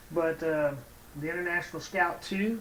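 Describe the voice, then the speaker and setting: A man with a Texas accent speaks in a high pitch at a moderate pace with ordinary pitch variation. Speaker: scale model builder, YouTuber. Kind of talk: casual tutorial-style review. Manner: hesitant, many fillers.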